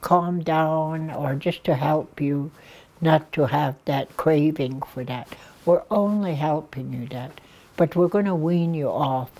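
A woman speaks very slowly in a very deep, low pitch with ordinary pitch variation. Her tone is dark and mellow. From Blood Reserve, Alberta, Canada. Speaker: addictions worker, elder. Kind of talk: interview answer. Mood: earnest, caring. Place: studio.

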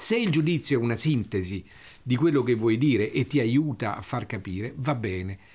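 At a moderate pace, a man with a medium pitch and a somewhat breathy voice uses lively intonation, on a very clean recording with a silent background. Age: 60s. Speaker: wine critic. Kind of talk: interview storytelling. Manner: halting, with repetitions.

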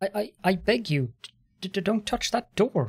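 A man puts on a character voice that is high and shaky, with lively intonation. The sound is dry and close, with no echo. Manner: pleading, frightened.

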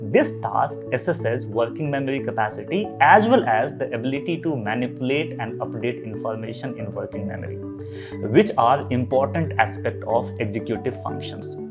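A man at a moderate pace, clear music in the background. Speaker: educator. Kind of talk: lecture. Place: studio.

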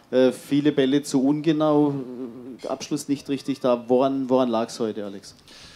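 A man's dark, mellow voice at a moderate pace, with fairly even intonation. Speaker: press conference moderator. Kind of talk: press conference. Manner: halting. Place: hall. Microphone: handheld.

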